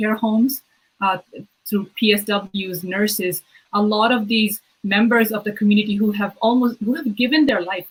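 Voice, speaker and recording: Fairly even in intonation and moderate in pace, this voice has a somewhat breathy quality. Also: woman. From Bangladesh, moved to Canada as a child in 1999. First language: Bengali. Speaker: provincial politician. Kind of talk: interview. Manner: halting, many fillers and repeats.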